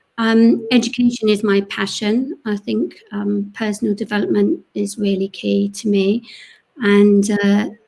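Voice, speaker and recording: In a London accent, a woman speaks at a medium pitch with ordinary pitch variation, her tone dark and mellow and somewhat breathy. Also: fairly slow pace. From North London, England. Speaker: panelist, education charity worker. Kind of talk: panel discussion.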